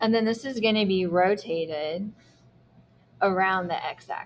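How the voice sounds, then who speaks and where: A woman's plain, everyday voice at a medium pitch, with ordinary pitch variation and a fairly slow pace. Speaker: math teacher. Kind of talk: lecture.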